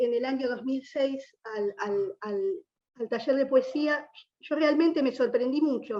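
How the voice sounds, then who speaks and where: A woman with an Argentine accent speaks very slowly in a high pitch, her tone dark and mellow. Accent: Argentine Spanish (Rioplatense). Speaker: writer, former prisoner. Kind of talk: panel talk. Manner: halting, with repetitions.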